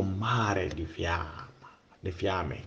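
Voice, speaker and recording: Against noticeable background noise, a man with a Ghanaian accent speaks with ordinary pitch variation. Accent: Ghanaian-accented Italian and English. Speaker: storyteller. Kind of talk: storytelling. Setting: remote voice recording. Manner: halting.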